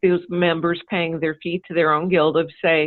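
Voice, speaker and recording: A woman talks at a fairly slow pace. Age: 50s. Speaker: quilter, guild member. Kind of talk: podcast interview. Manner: hesitant, many fillers.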